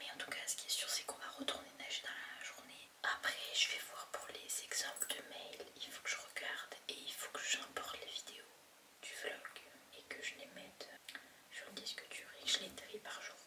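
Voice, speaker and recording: Noticeable background noise fills the clip. Under it, a woman whispers at a moderate pace. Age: 20s. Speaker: vlogger. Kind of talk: casual vlog talk. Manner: hesitant, with fillers.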